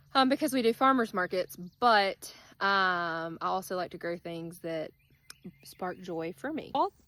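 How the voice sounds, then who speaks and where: With an Alabama accent, a woman speaks fairly slowly at a medium pitch, her bright, sharp tone and lively intonation captured in a very clean, dry, close recording with a silent background and no echo. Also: big swings in loudness. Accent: Southern US (Alabama). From US South, South Alabama. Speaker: gardening vlogger. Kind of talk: casual vlog tutorial. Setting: outdoors in garden. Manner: casual, many filler ums.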